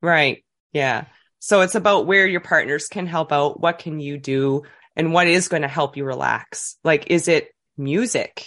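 A woman with a Canadian Maritime accent speaks at a fairly slow pace, her fairly low pitch moving with ordinary variation over a quiet background. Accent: Canadian Maritimes. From New Brunswick, Canada. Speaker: childbirth educator. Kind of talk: interview.

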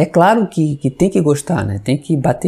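Vocal fry marks a man's dark, mellow tone, which has ordinary pitch variation. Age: 50s. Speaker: Spiritist religious educator, civil servant. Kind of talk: podcast interview.

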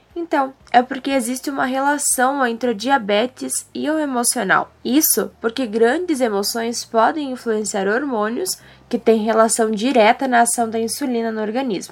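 High-pitched, a woman talks at a moderate pace. Her intonation is lively. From southern Brazil, Rio Grande do Sul. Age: young. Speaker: podcast host, journalism student. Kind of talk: scripted narration.

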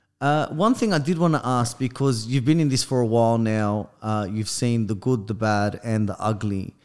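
This man speaks with an Australian accent at a moderate pace, with hardly any pauses. His pitch is medium with ordinary variation, and the recording is very clean against a silent background. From Sydney, Australia. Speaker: podcast co-host. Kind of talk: casual chat. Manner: animated.

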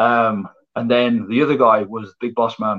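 In a West Midlands accent, a man speaks at a medium pitch with monotone, flat intonation. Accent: English Midlands (Coventry). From England, Coventry. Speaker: professional wrestler. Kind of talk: casual interview.

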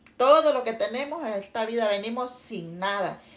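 The woman's voice sits high in pitch. Lively intonation shapes her delivery. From Honduras, Santa Bárbara. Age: 50s. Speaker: interviewee, mother. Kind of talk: casual family interview.

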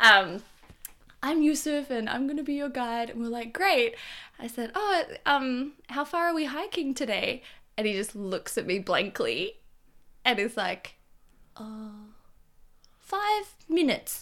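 A woman's raised, projected voice, high and bright with a sharp tone, with very wide pitch swings and long, frequent pauses. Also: fairly slow pace, very clean recording, silent background. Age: 20s. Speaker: hiker and traveller. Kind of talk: casual interview, storytelling.

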